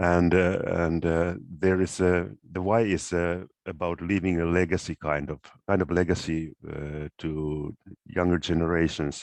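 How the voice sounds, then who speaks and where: The delivery is fairly slow, with monotone, flat intonation. The sound is dry and close with no echo, against a quiet background. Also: man. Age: 60s. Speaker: workshop participant, career coach. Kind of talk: workshop discussion. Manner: halting, many fillers.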